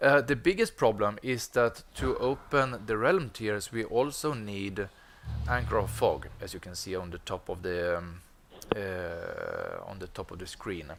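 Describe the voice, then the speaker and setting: A fairly slow delivery with a Swedish accent and big swings in loudness. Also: man. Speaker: gaming streamer. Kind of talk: gameplay commentary. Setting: live stream with headset.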